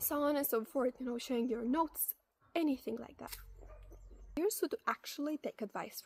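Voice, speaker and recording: With a non-native accent, the speaker moves at a fairly quick pace, broken by long, frequent pauses and big swings in loudness. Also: woman, high pitch for a woman, lively intonation, dry, close sound with no echo. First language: not English. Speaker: advice video creator. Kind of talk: casual advice monologue. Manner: conversational with fillers and self-corrections.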